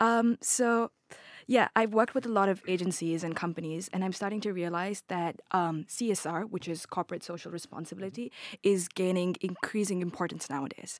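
A woman with a plain, everyday voice, medium pitch, ordinary pitch variation, and a fairly quick pace, on a very clean recording with a silent background. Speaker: university student. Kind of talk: asking interview question.

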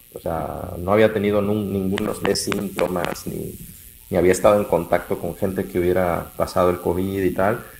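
A man's very deep, low voice with monotone, flat intonation and noticeable background noise. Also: moderate pace. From Mexico, Jalisco (Lagos de Moreno). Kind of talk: casual chat.

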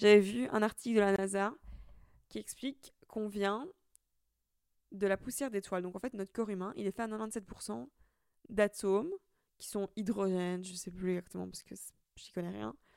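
With a dry, close sound with no echo, a woman at a medium pitch speaks at a moderate pace, showing ordinary pitch variation, big swings in loudness, and long, frequent pauses. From Italy. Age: 20s. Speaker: podcaster. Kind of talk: casual monologue. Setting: recording at home. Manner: casual, with frequent fillers.

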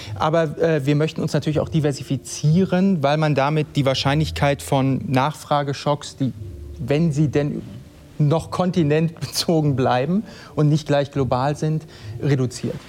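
A man's fairly high voice with fairly even intonation, very even loudness and a fairly slow pace, over noticeable background noise. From East Westphalia, Germany. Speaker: managing director of a hi-fi company. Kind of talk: live panel talk. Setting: live event with audience.

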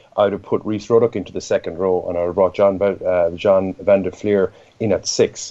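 The voice has an Irish accent and a dark, mellow tone. Its pace is moderate. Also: man. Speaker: rugby pundit. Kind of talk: sports analysis discussion. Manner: halting, repeats words.

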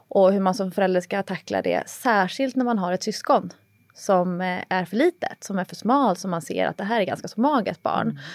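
At a moderate pace and medium pitch, a woman speaks with vocal fry and ordinary pitch variation, the recording very clean with a silent background and a dry, close sound with no echo. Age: 30s. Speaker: personal trainer and author. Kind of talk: casual chat.

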